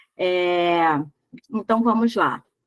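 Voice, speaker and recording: Her intonation is lively as this woman speaks. The audio sounds dry and close, with no echo at all. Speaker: trainer in medical billing. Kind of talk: online class lecture. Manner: animated.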